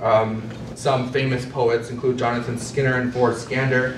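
A man's speech is heard with noticeable background noise behind it. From Navajo Nation, US Southwest. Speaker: poet. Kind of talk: conference talk. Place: meeting room. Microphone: camera far.

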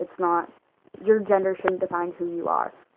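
Over light background noise, a woman mumbles at a fairly low pitch and a fairly quick pace, in a monotone with flat intonation. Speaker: vlogger. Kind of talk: casual talk to camera. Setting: low-quality phone recording. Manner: mumbling, rambling. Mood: calm, opinionated. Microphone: phone near.

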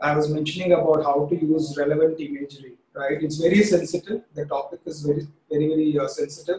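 Audible room echo surrounds a voice with an Indian accent. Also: man. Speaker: creative director; presenter. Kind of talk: webinar presentation. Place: home room. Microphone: webcam.

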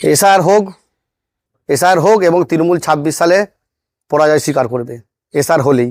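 An ordinary speaking voice from a man, fairly high in pitch with ordinary pitch variation. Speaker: local BJP politician. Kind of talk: political statement to reporter.

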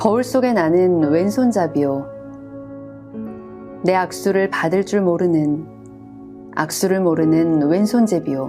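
Over music in the background, a soft-spoken woman with a calm tone talks at a very slow pace and a fairly low pitch, with very even loudness and ordinary pitch variation. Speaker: voice performer. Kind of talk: poetry reading. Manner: calm, soft-spoken.

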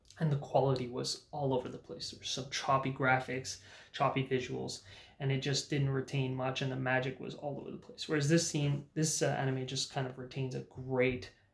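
Speaking at a fairly quick pace, a man sounds somewhat breathy, with monotone, flat intonation and audible room echo. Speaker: anime reviewer. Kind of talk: casual review commentary. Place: home room.

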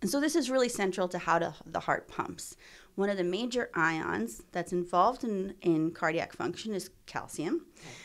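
A woman with an ordinary speaking voice, medium pitch, lively intonation and a moderate pace, on a very clean recording with a silent background. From Ontario, Canada. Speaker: biomedical researcher, assistant professor. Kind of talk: interview, explaining research. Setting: in her lab.

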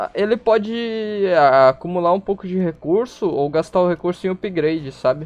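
Ordinary pitch variation and a moderate pace from a man with a high pitch. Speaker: streamer. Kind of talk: casual chat. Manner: casual, chatty.

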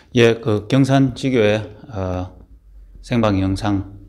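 This man speaks at a very slow pace with a fairly low pitch. His intonation stays fairly even. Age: 30s. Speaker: minister. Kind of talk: casual talk to camera. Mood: earnest, calm. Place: home room. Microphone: phone near.

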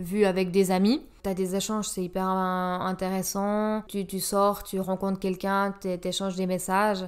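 With hardly any pauses, a woman talks at a fairly slow pace and medium pitch in monotone, flat intonation on a very clean recording with a silent background. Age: 30s. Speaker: health professional. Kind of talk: casual chat.

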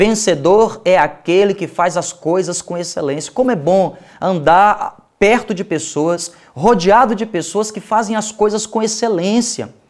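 A high-pitched man with a Brazilian accent, fairly slow and with ordinary pitch variation, over a quiet background. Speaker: pastor. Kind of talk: sermon. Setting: TV or radio program. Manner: earnest, exhortative; direct appeals to the listener. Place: studio. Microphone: lapel.

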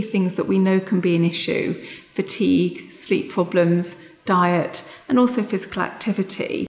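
Fairly even intonation with audible room echo. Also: woman. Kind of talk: interview answer. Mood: warm, caring, steady. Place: office. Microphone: lapel.

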